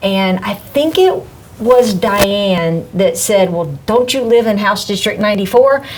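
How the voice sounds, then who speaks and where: A woman speaks with a Southern US accent at a moderate pace. Noticeable background noise and audible room echo surround her voice. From US South, Mississippi. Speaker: political candidate. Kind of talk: interview.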